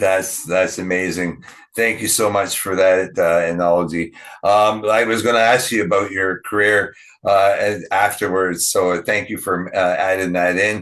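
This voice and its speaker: Fairly low-pitched man with a Canadian accent, monotone and flat in intonation, at a fairly slow pace, against a quiet background. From Ontario, Canada. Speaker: podcast host. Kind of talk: interview conversation. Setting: podcast interview.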